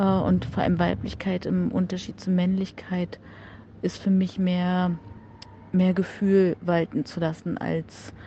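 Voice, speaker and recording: At a very slow pace, a woman speaks in a somewhat breathy, medium-pitched voice with fairly even intonation. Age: 40s. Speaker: corporate communications manager. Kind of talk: recorded voice message.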